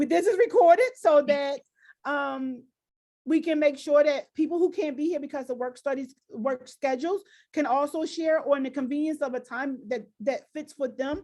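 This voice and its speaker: A woman's high-pitched voice with a dark, mellow tone and ordinary pitch variation in a very clean recording with a silent background. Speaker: school district diversity director. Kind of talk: presentation Q&A. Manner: fast; halting.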